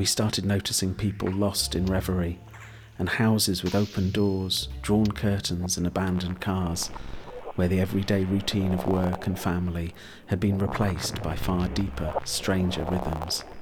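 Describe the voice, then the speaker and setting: Over music in the background, a man with a British accent speaks at a moderate pace in a very deep, low pitch, with very even loudness and fairly even intonation. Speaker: audiobook narrator. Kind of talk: horror story narration, read aloud from a script. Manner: measured and atmospheric, lingering on vivid images.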